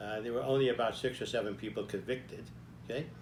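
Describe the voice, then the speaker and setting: Vocal fry and fairly even intonation from a man, with audible room echo. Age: 90s. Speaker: army veteran and author. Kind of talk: personal storytelling. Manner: conversational, frequent "okay?" fillers.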